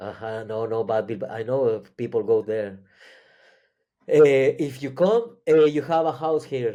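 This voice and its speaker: In a very clean recording with a silent background, a man speaks at medium pitch and a fairly slow pace. His tone is dark and mellow, with ordinary pitch variation. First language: Spanish or Catalan. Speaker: psychedelic experience sharer. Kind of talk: interview. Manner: halting.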